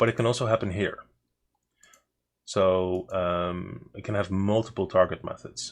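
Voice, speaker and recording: With a Dutch accent, a man talks at a moderate pace in a fairly low voice with fairly even intonation. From Netherlands. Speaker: game mod developer and streamer. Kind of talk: live coding stream, casual chat with chat. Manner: halting, many fillers and repeats.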